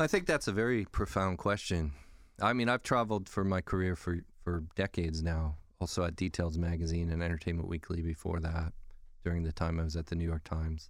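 Speaking at a fairly quick pace with fairly even intonation, a man with an American accent and a very deep, low pitch is heard in a very clean recording with a silent background. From California. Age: 50s. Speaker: food writer and editor. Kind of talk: podcast interview.

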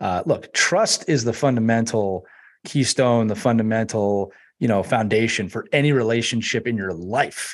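This is a man with a medium pitch. His pitch varies in an ordinary way. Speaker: team culture expert and author. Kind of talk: interview about team culture. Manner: warm, enthusiastic.

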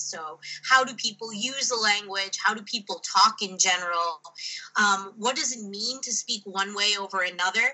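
A woman talks with an American accent and ordinary pitch variation. Noticeable background noise runs behind her. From United States. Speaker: linguistic anthropologist. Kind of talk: interview. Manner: frequent um and uh fillers.

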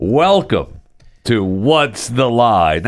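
Loud and shouting, a man at medium pitch performs a put-on character voice in a very clean recording with a silent background. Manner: loud, shouting.

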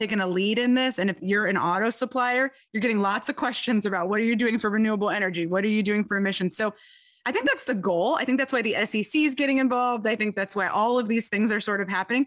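A woman with a Midwestern US accent talks at a very fast pace in a fairly high pitch. Her loudness stays very even, and her pitch varies in an ordinary way. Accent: US Midwest. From Michigan, US. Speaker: tech company sustainability executive. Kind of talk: interview.

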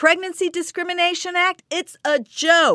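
A woman uses a raised, projected voice with a bright, sharp tone at a moderate pace. The recording is very clean, with a silent background. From Venezuela. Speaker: filmmaker and activist. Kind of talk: interview. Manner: animated.

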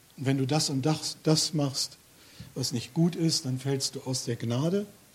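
Very slowly and with fairly even intonation, a man speaks in a somewhat breathy, fairly high voice. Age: 50s. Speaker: lay preacher. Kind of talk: sermon.

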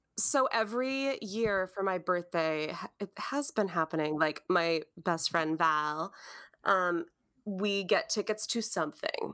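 With an Upper Midwest accent, a woman speaks at a fairly slow pace in a bright, sharp tone. Her pitch varies in an ordinary way, and the recording is very clean with a silent background. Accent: Upper Midwest American. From Wisconsin. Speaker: podcast co-host. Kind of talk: casual chat.

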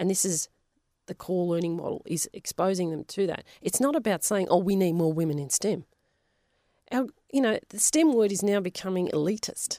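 In an Australian accent, the voice carries a dark, mellow tone and lively intonation, with a dry, close sound and no echo. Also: woman, medium pitch for a woman, moderate pace. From Western Australia, Polish family. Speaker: geoscientist and science teacher. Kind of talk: interview.

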